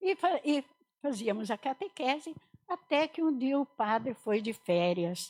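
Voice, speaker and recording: Speaking fairly slowly, a woman uses a high pitch with very wide swings. The sound is dry and close, with no echo. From Portugal, moved to Brazil at nine. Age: 70s. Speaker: religious sister. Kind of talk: vocational testimony in a podcast interview. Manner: conversational, frequent fillers.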